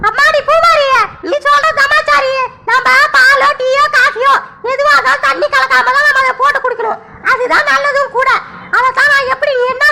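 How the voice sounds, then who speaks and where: Doing a cartoonish character voice, a woman speaks at an extremely high pitch and a moderate pace with fairly even intonation. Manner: drawn-out, measured talking.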